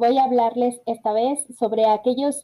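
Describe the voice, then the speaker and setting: A woman speaks with a Mexican accent, her pitch high and her tone dark and mellow. She goes at a very slow pace. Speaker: podcast host. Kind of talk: solo podcast talk. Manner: halting, many fillers and repetitions.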